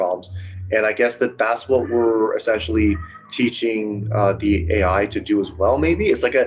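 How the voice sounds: The reading voice sounds natural.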